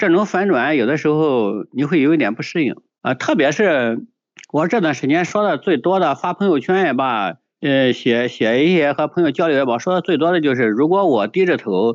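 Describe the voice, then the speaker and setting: Over a quiet background, a man at a fairly high pitch talks at a moderate pace with lively intonation. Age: 50s. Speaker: poet and food delivery rider. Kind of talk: interview. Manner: halting, many fillers.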